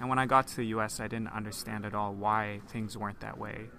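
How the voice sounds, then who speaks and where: Through audible room echo, a man with a fairly low pitch talks at a fairly quick pace. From Hong Kong. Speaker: theology student. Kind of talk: interview.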